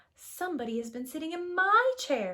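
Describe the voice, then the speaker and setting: In a put-on character voice, a woman speaks at a moderate pace with extremely high pitch and very wide pitch swings. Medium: read story.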